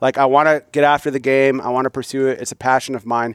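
The man has an American accent and a monotone, flat intonation. His sound is dry and close, with no echo. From US Midwest. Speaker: military officer and hunting app founder. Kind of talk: casual chat.

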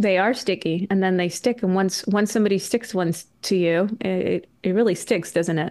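A woman's medium-pitched voice at a moderate pace, with ordinary pitch variation, very even loudness and hardly any pauses, over a quiet background. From Canada. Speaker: journalist and author. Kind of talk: casual chat. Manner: soft-spoken; hesitant, qualifying.

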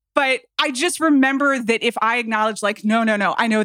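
An unremarkable speaking voice from a woman with an American accent, fairly high in pitch with ordinary pitch variation, at a fairly quick pace, the sound dry and close with no echo. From US South, Atlanta, Georgia. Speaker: podcast guest. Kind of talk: casual chat.

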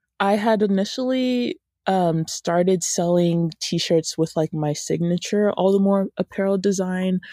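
A woman with an American accent speaks at a medium pitch with ordinary pitch variation, very even loudness and hardly any pauses. The sound is dry and close with no echo, in a very clean recording with a silent background. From US South, Georgia (Woodstock, near Atlanta). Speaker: college student entrepreneur. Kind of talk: interview. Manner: hesitant, frequent fillers.

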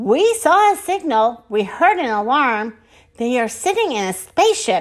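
Here the text is read in a natural voice.

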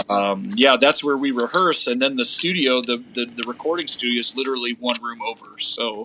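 Male speech in medium pitch with ordinary pitch variation, fairly quick and with hardly any pauses, over noticeable background noise. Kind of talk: casual chat.

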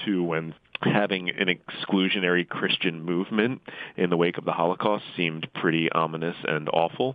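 A man's voice sits very deep and low as he talks at a moderate pace. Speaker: constitutional lawyer and author. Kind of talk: interview.

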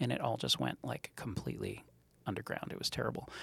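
There's vocal fry as a man talks at a fairly quick pace. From Montreal, Canada. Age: 40s. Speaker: startup co-founder. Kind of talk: interview. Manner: animated.

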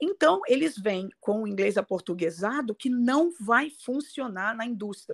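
Somewhat breathy and fairly high-pitched, a woman speaks fairly slowly with lively intonation and hardly any pauses, the sound dry and close with no echo. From Brazil, Rio de Janeiro. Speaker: English pronunciation coach. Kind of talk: interview.

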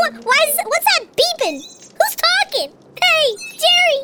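An extremely high, squeaky put-on character voice at a very slow pace, with very wide pitch swings. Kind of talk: comic overacting. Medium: actual play. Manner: blunt, repetitive.

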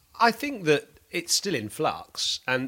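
On a very clean recording with a silent background, a man with a bright, sharp tone and vocal fry swings very widely in pitch. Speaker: cricket podcast host and former pro cricketer. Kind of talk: casual analytical chat.

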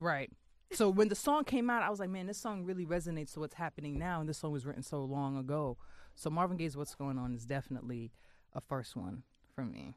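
Over a quiet background, the speaker talks at a very fast pace with lively intonation in a New York accent. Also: woman, very deep, low pitch for a woman. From New York, Queens. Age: 30s. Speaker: magazine editor. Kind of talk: casual chat.

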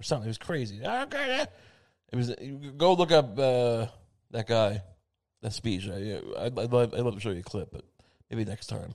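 A man mumbles at a moderate pace with medium pitch, ordinary pitch variation and long, frequent pauses over a quiet background. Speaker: podcast host. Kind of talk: solo comedic monologue. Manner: mumbling, full of asides; halting, many fillers.

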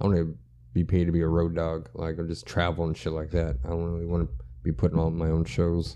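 A man with an American accent talks very fast in a very deep, low voice, his tone dark and mellow and his intonation fairly even. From central Texas. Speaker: comedian. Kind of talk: casual chat.

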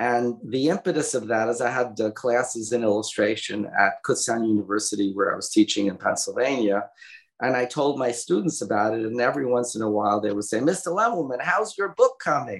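In a Brooklyn accent, a medium-pitched man talks at a fairly quick pace with lively intonation. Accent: Brooklyn New York. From Brooklyn, New York. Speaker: graphic novel author. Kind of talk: casual interview. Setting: remote call.

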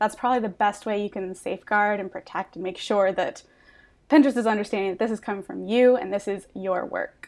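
An ordinary speaking voice from a woman, medium in pitch, at a fairly quick pace with ordinary pitch variation. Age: 20s. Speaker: Pinterest marketing consultant. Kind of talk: podcast interview.

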